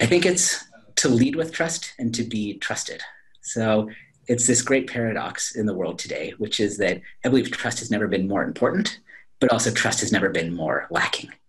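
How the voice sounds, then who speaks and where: Moderately paced and somewhat breathy, the speech has lively intonation. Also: man, medium pitch for a man. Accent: General American. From California, Silicon Valley; California. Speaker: business school professor. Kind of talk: interview. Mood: upbeat, smiling. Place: office. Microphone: video call.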